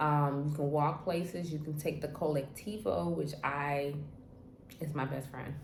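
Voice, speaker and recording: Audible room echo surrounds a woman speaking at a moderate pace with a very deep, low pitch. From Trinidad. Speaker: travel vlogger. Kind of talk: casual vlog monologue. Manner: casual, conversational with many fillers.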